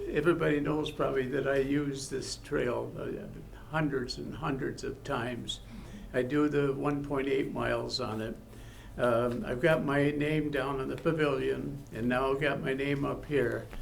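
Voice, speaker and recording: A man's voice with an American accent at a moderate pace, in audible room echo. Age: 80s+. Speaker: honored local resident. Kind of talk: thank-you speech at public meeting. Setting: city council meeting. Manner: halting.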